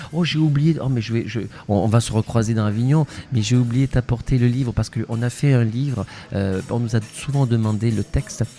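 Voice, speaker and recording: Music plays behind a man talking at a fairly quick pace. His pitch is medium and his intonation fairly even. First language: Spanish (speaking French). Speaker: actor and playwright. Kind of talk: interview. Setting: festival interview. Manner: hesitant, many fillers and repetitions.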